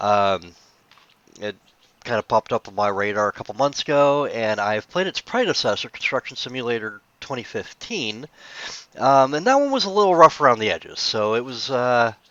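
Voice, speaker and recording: This man's bright, sharp voice moves at a moderate pace and medium pitch with lively intonation and big swings in loudness, in a dry, close sound with no echo. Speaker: gaming youtuber. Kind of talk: gameplay commentary. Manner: casual with frequent fillers.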